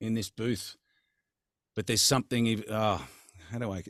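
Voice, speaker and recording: Speaking with an Australian accent, a man with a fairly low pitch goes at a moderate pace in a dry, close sound with no echo. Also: very clean recording, silent background. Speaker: voice actor. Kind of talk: interview answer. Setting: home studio. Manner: upbeat, hearty.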